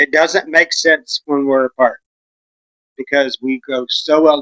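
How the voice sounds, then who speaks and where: Here a man speaks with a Texan accent. The sound is dry and close, with no echo. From West Texas. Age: 40s. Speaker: vlogger. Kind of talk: casual chat.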